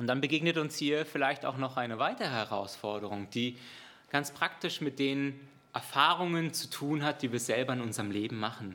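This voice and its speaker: A man's fairly high voice carries a bright, sharp tone and ordinary pitch variation. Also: moderate pace. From outside Germany. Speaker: preacher. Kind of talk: sermon.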